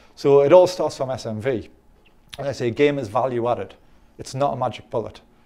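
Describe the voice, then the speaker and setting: A man speaks at a fairly quick pace with a medium pitch and ordinary pitch variation, his tone dark and mellow. His loudness swings widely, long pauses come often, and the background is quiet. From England. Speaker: dating coach. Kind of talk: interview. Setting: conference. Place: studio. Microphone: lapel.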